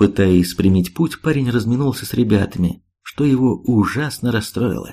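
Against a quiet background, the speaker reads aloud in a natural voice.

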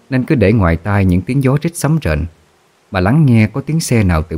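Natural voice, reading

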